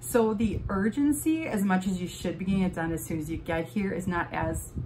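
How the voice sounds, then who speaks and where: Amid noticeable background noise, a woman with an American accent speaks at a moderate pace and a fairly low pitch. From Wisconsin. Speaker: vlogger. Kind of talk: casual vlog tutorial. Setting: home office. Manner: hesitant, many fillers.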